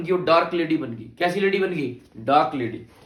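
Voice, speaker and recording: A man with a high pitch and an animated tone, a slight Haryanvi accent and audible room echo. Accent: slight Haryanvi touch. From Haryana, India. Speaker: teacher. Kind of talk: lecture.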